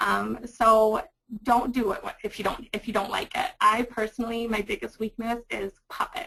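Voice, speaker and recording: Speaking at a fairly slow pace, a woman with a fairly high pitch shows vocal fry and ordinary pitch variation. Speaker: librarian. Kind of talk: webinar presentation. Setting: webinar. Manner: loud.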